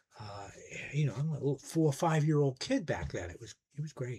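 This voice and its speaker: A man talks at a fairly quick pace. His voice has a dark, mellow tone and is somewhat breathy. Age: 60s. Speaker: music YouTuber, record collector. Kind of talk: casual monologue review.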